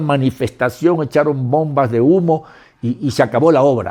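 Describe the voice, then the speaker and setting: With a dark, mellow tone, a man speaks at a moderate pace in a fairly high pitch with ordinary pitch variation. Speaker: actor and filmmaker. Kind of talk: interview.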